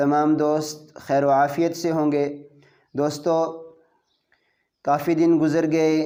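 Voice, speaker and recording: A man with a dark, mellow tone speaks at a fairly high pitch, his loudness very even and his intonation flat and monotone. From Kashmir. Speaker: Quran reciter. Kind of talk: casual talk to viewers.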